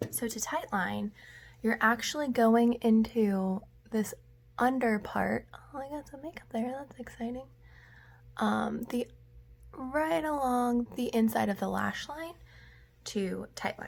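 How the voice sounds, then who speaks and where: Quiet speech from a woman at a fairly slow pace, with long, frequent pauses and big swings in loudness. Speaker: makeup vlogger. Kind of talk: tutorial.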